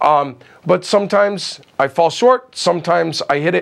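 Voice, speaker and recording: A man speaks loudly in an animated tone, his pitch varying in an ordinary way. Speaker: film crew grip. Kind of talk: interview.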